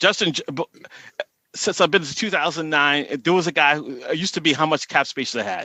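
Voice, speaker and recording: In a strong Boston accent, a man talks at a fairly quick pace, his fairly high voice bright and sharp with ordinary pitch variation. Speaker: salary cap analyst on Twitter. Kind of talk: casual podcast chat.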